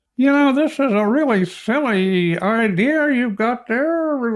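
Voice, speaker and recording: Putting on a character voice, a man speaks at an extremely high pitch and a fairly slow pace in a very clean recording with a silent background. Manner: dismissive, belittling.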